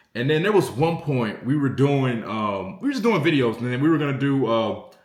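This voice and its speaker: An animated man with an American accent talks at a fairly quick pace and medium pitch. His intonation is lively, and audible room echo surrounds him. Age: 20s. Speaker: sports content creator. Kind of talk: casual commentary vlog.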